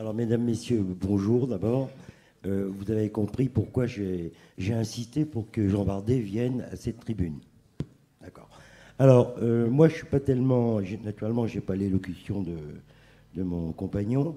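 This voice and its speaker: A man with a fairly low pitch, ordinary pitch variation and a fairly slow pace, with long, frequent pauses. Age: 60s. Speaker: chef. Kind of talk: panel talk. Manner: halting.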